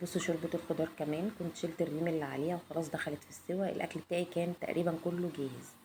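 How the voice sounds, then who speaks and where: A woman with a fairly low pitch speaks in a monotone, flat intonation at a very fast pace with hardly any pauses. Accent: Egyptian. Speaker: cooking vlogger. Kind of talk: cooking tutorial. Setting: home kitchen.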